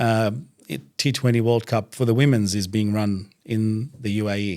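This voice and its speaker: A man with an Australian accent speaks at a moderate pace, his fairly low pitch and dark, mellow tone held in fairly even intonation. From Iraq, raised in Iran, then Australia. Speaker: doctor and religious speaker, podcast guest. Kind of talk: casual interview. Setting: studio.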